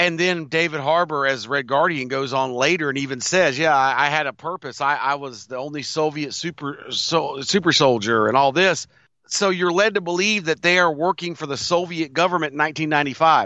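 A man speaks at a fairly quick pace with hardly any pauses, using a fairly high pitch and ordinary pitch variation. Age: 50s. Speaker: podcast co-host. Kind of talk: casual chat.

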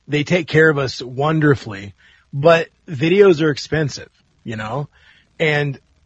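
A man's somewhat breathy, fairly high-pitched voice. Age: 40s. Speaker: punk rock guitarist. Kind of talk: casual chat.

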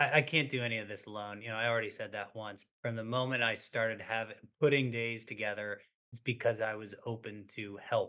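This is a man with an American accent and an ordinary speaking voice. His pitch sits in the medium range. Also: fairly even intonation, fairly quick pace. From Maine, US. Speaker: ultrarunner in recovery. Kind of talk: casual interview conversation.

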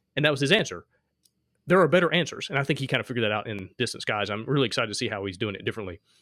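A man's bright, sharp voice at medium pitch, with a Southern US accent, a very fast pace, and a very clean recording over a silent background. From Alabama, US South. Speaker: podcast host, game designer. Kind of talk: casual interview chat.

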